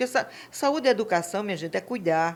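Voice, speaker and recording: Using ordinary pitch variation, a woman talks in a normal speaking voice. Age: 60s. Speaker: real estate and construction administrator. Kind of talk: podcast interview.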